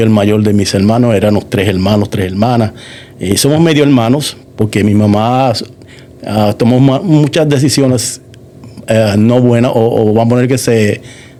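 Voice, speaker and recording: A man with a fairly low pitch speaks at a fairly slow pace, his pitch varying in an ordinary way. Audible room echo and noticeable background noise surround his voice. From Puerto Rico, moved to Massachusetts at about 9. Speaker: church member giving testimony. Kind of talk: testimony interview. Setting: church studio.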